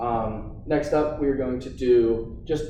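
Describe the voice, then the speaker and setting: A man's voice with audible room echo. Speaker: fitness instructor. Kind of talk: workout instruction. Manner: casual, encouraging.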